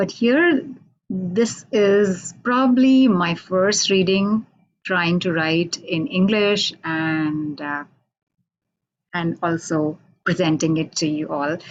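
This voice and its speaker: The speaker has an Indian accent and lively intonation. The pace is very slow. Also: woman, fairly low pitch for a woman. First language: Hindi. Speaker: poet. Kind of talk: introduction before poetry reading. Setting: radio station, online video call.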